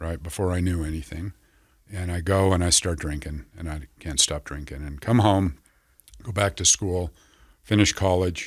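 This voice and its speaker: Over a very clean recording with a silent background, a man speaks at a moderate pace in a very deep, low voice that is somewhat breathy, with big swings in loudness. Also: ordinary pitch variation. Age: 60s. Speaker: recovery center clinical director, former addict. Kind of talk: interview about addiction recovery story. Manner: halting, repeating words.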